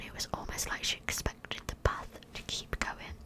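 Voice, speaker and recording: Whispering from a woman, moderate pace, noticeable background noise behind. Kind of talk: scary story reading. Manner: whispered, soft, close-up.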